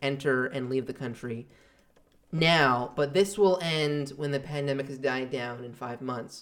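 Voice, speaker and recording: This man has a plain, everyday voice. It sits fairly high in pitch with ordinary pitch variation. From outside Canada. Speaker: podcast guest. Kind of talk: casual chat.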